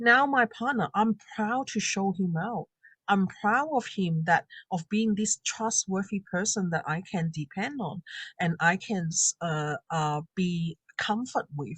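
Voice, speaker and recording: In a quiet background with a dry, close sound and no echo, a woman talks at a fairly slow pace in an ordinary speaking voice, medium in pitch with lively intonation. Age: 40s. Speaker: confidence coach and makeup artist. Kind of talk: interview testimony.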